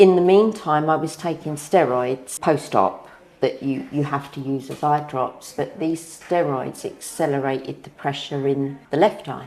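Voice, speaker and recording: Speaking in a southern English accent, a woman uses a very deep, low pitch. She leaves hardly any pauses. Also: ordinary pitch variation, fairly slow pace. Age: 60s. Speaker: patient. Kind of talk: testimony.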